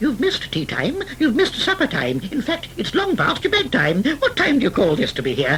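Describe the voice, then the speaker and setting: A put-on character voice against clear background noise. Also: fairly quick pace. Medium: read story. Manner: jolly, wordplaying.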